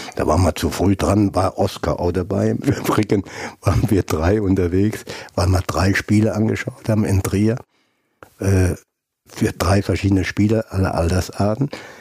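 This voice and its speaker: Ordinary pitch variation at a moderate pace. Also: man. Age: 70s. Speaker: retired footballer and scout. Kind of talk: interview.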